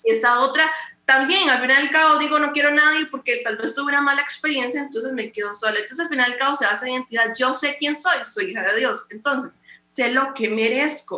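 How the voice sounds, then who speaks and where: A woman with a high pitch uses a raised, projected voice at a fairly quick pace, with ordinary pitch variation. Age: 20s. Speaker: pastor and radio host. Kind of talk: casual interview.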